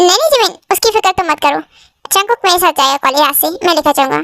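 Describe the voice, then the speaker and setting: In a put-on character voice, a woman speaks squeakily at an extremely high pitch, fairly quick, with lively intonation and very even loudness. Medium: fan dub. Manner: possessive, coaxing.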